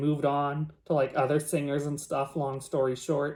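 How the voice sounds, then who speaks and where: A man at a moderate pace. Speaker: YouTuber. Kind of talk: reading aloud and commentary. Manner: casual, talkative.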